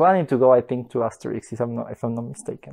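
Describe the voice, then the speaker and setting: A man speaks in a Spanish accent at a medium pitch. His pitch varies in an ordinary way. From Bolivia. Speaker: master's student. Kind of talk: interview answers. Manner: hesitant, many fillers.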